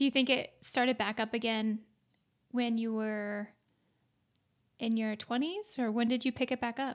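A woman's fairly high voice at a moderate pace, with fairly even intonation, long and frequent pauses, and a very clean recording over a silent background. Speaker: podcast co-host interviewer. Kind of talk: casual interview chat.

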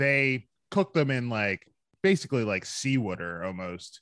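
The voice comes in an American accent with a bright, sharp tone and lively intonation, at a fairly slow pace, with a dry, close sound and no echo against a quiet background. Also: man. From Philadelphia. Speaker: entrepreneur, hot sauce maker. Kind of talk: casual chat.

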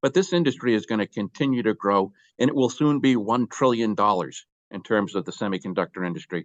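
With an American accent and an unremarkable speaking voice, a man of medium pitch talks at a fairly quick pace. The sound is dry and close, with no echo and a quiet background. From Boston, US Northeast. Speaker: company executive. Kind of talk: interview.

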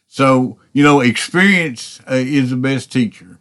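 A man talks fairly slowly in a medium pitch that shows ordinary variation. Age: 60s. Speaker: podcast preacher. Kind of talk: sermon. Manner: halting.

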